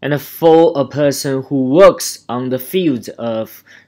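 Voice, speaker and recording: A man with a Chinese accent, fairly high pitch and lively intonation. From China. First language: Mandarin Chinese. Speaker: dentist vlogger. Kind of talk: vlog narration.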